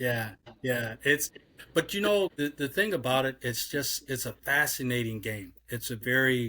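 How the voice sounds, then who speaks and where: Lively intonation from a man at a medium pitch and moderate speed. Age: 60s. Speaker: league executive. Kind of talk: interview. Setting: podcast. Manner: halting, repetitive.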